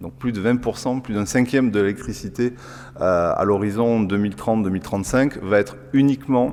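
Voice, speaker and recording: A man with a southern French accent, medium pitch, ordinary pitch variation and a moderate pace. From southern France. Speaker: engineer. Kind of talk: lecture. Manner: halting, many filler sounds.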